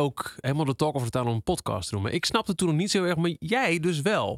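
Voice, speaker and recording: This man has a plain, everyday voice, fairly high in pitch with lively intonation, on a very clean recording with a silent background. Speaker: radio DJ. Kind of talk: casual chat.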